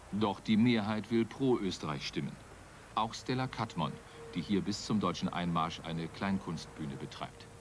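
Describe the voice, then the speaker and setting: A man with a fairly low pitch and lively intonation at a moderate pace, over noticeable background noise. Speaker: documentary narrator. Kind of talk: documentary narration.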